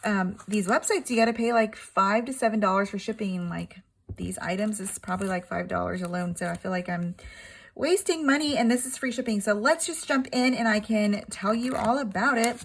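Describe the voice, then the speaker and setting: The speech comes at a fairly quick pace, somewhat breathy and with ordinary pitch variation. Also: woman, fairly high pitch for a woman. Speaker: crafting YouTuber. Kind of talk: product unboxing. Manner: fast; casual, halting with fillers.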